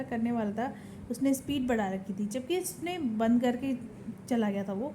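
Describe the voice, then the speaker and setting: Moderately paced female speech in audible room echo. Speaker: vlogger. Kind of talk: casual vlog talk. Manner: quiet in public, louder at home.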